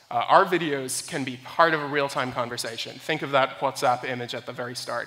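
At a moderate pace, a bright, sharp tone carries fairly even intonation. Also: man.

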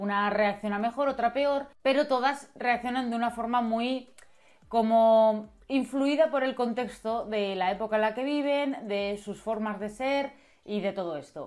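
Against a quiet background, a woman speaks fairly slowly at a fairly high pitch with ordinary pitch variation. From Spain. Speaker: YouTuber, series reviewer. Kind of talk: video review monologue. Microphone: lapel.

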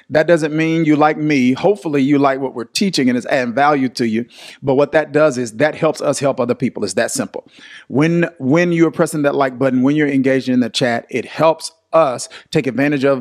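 Over a quiet background, a man speaks at a fairly quick pace with ordinary pitch variation. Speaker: pastor teaching online. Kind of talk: livestream Bible study talk. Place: studio. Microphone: studio mic.

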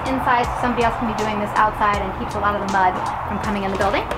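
Background music can be heard. Over it, a woman's voice comes through. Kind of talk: walking tour explanation. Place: farm machine.

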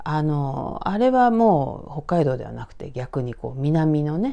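The tone is dark, mellow and calm, with lively intonation at a very slow pace. The background is quiet. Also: woman. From Tokyo, Hachioji; Tokyo. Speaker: horror storyteller. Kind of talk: storytelling. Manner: calm, conversational. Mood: calm, hushed, eerie telling.

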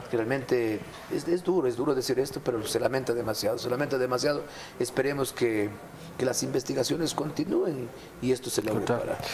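Speaking at a fairly quick pace, a man uses ordinary pitch variation. Noticeable background noise is present. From Ecuador, Azuay province. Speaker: mayor. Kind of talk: TV interview. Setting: studio. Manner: animated. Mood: somber in last clip. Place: studio. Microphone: lapel.

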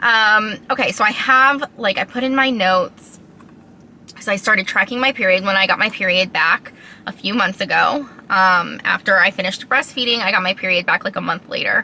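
Normal pitch movement runs through speech delivered rather quickly. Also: woman. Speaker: vlogger. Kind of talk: casual vlog chat. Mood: unsure, confiding. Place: car. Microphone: phone near.

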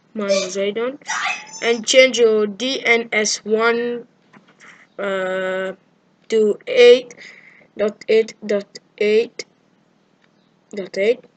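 A woman at fairly high pitch, very slow and monotone, with flat intonation and long, frequent pauses. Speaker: gamer showing a fix. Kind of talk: tutorial screen walkthrough. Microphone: camera far.

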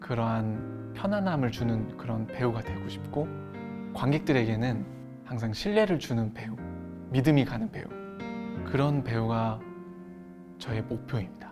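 The delivery is fairly slow, set against music in the background. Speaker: actor. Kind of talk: interview answer.

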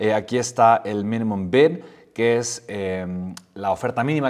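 Moderately paced speech from a man, the background quiet. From Mexico. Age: 30s. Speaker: entrepreneur and YouTuber; YouTuber. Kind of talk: tutorial. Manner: animated. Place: home room.

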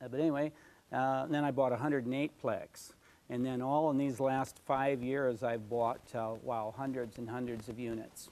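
A man's fairly slow, monotone delivery with flat intonation. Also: medium pitch for a man. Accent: American. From Michigan, US. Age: 60s. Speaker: real estate investor and author. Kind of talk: interview. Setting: TV studio. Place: studio. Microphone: lapel.

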